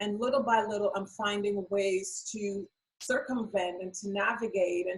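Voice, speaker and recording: Speaking with fairly even intonation, a woman holds a moderate pace. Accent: Trinidadian. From Trinidad and Tobago. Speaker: beauty business owner. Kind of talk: interview.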